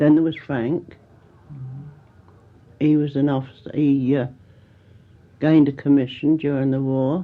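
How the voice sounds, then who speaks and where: Speaking with a Kent accent, a woman uses a very deep, low pitch at a fairly slow pace, her intonation monotone and flat with long, frequent pauses. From Canterbury, Kent, England. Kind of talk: oral history interview answer.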